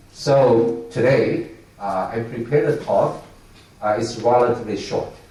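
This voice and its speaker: With lively intonation, a man talks at a fairly slow pace while noticeable background noise and audible room echo fill the recording. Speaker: semiconductor industry executive. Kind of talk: keynote speech. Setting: conference stage with audience. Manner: halting, many filler sounds.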